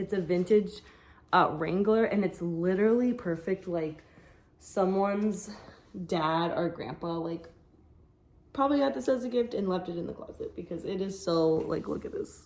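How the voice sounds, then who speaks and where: At a moderate pace broken by long, frequent pauses, the voice shows ordinary pitch variation against noticeable background noise. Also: woman, medium pitch for a woman. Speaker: online clothing reseller. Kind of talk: casual vlog haul. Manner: hesitant fillers.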